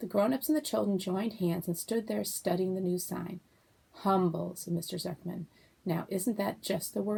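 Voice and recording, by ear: Text read aloud, natural voice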